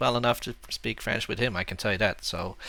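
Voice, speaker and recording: A man talks in a bright, sharp tone. The recording is very clean, with a silent background. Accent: slight Dutch. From Netherlands. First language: Dutch. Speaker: board game streamer. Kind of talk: casual chat.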